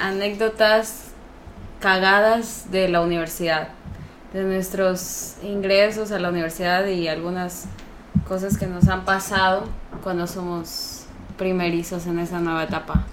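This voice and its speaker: Noticeable background noise and audible room echo surround a woman speaking at medium pitch and a fairly slow pace in a monotone, flat intonation. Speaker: youtuber. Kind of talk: casual chat.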